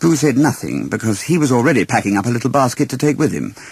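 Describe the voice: Speaking fast at a medium pitch, a man shows big pitch swings, vocal fry and a slightly husky edge.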